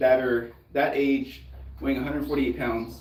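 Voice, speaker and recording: With audible room echo and noticeable background noise, a man's speech moves at a moderate pace. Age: 30s. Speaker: fitness youtuber. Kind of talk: casual chat. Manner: casual, filler-heavy.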